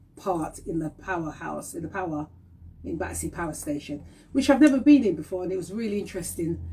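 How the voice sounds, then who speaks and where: Vocal fry and lively intonation from a woman at a fairly quick pace. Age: 50s. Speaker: talk show host. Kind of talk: casual live-stream chat. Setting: Instagram live stream. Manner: animated.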